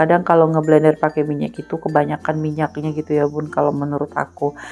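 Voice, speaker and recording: A woman speaks at a very deep, low pitch with monotone, flat intonation. Music plays in the background. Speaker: housewife vlogger. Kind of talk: vlog voiceover narration. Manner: casual, with many fillers.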